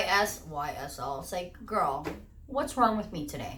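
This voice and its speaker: Her words carry an audible room echo. This woman talks with a fairly high pitch. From Portuguese-speaking country. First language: Portuguese. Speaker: beauty YouTuber. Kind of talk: unboxing video, casual chat. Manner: enthusiastic; halting on words.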